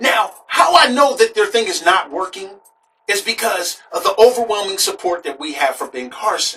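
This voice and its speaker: Very wide pitch swings in a man's raised, projected voice. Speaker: political talk show host. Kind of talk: political commentary.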